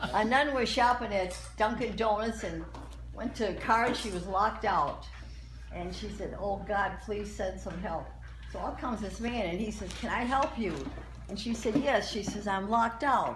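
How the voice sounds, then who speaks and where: The woman talks at a moderate pace. Noticeable background noise sits behind her. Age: 80s+. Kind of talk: joke telling at a party.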